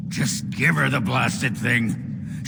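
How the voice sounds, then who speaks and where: Through loud background noise, a man uses a put-on character voice at a medium pitch. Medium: machinima. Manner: gruff, blunt.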